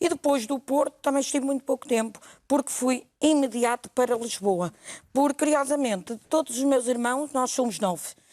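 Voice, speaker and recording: A woman's high pitch with ordinary pitch variation and very even loudness, in a dry, close sound with no echo. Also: moderate pace. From northern Portugal, Felgueiras area. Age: 60s. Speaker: TV interview guest, real estate agent. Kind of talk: TV talk show interview.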